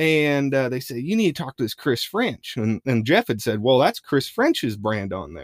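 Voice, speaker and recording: With a Midwestern US accent, the speaker moves at a moderate pace through very wide pitch swings, in a dry, close sound with no echo. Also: man, medium pitch for a man, hardly any pauses. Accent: US Midwest. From Iowa, Madison County. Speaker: mule rider and trainer. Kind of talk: casual chat. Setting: studio.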